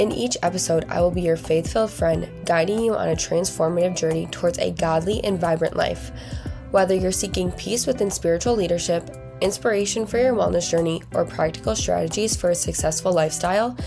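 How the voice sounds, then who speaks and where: Music plays behind a woman's voice. Her loudness stays very even. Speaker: podcast host. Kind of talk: scripted podcast intro.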